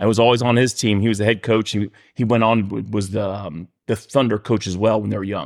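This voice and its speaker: A man with an American accent and a plain, everyday voice speaks fairly quickly at a fairly low pitch, his intonation fairly even, on a very clean recording with a silent background. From Miami, Florida. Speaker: youth baseball coach. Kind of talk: casual chat.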